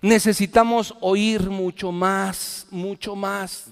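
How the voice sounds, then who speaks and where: A man speaks high in pitch. His intonation holds fairly even. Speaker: pastor. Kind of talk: sermon.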